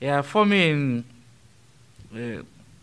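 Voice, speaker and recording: A man with a Nigerian accent at a very slow pace. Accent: Nigerian English, noticeable. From Nigeria, Benue State. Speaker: transitional deacon. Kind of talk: interview conversation. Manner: speaks slowly.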